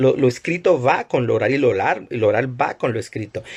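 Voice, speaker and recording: A man speaks with vocal fry. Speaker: lecturer on religious texts. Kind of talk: live-stream lecture. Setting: Instagram live stream. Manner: fast.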